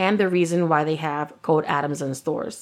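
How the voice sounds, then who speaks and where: The speaker talks at a fairly quick pace with fairly even intonation over a quiet background. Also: woman. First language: Spanish. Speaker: true crime podcast co-host. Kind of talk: casual chat; reading a prepared case narrative.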